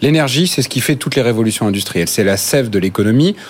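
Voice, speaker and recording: A man with a medium-pitched voice and lively intonation talks at a very fast pace. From France, Normandy. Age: 30s. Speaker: think-tank spokesperson. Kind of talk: panel debate.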